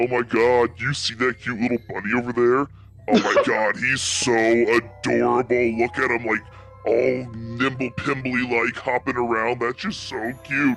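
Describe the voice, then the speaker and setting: Over clear music in the background, a man does a put-on character voice at a medium pitch and moderate pace. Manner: gushing, cutesy.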